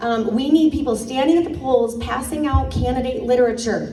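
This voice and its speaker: There is audible room echo around the speaker. She is a woman with a high voice. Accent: slight Michigan. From Michigan. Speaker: political candidate, former high school teacher. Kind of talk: campaign speech at a community meeting. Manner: casual, many fillers.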